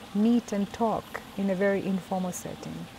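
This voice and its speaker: Fairly slow speech with an East African accent over noticeable background noise. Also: woman. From Tanzania. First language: Swahili. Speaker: UN agency executive. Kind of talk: interview. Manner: hesitant fillers.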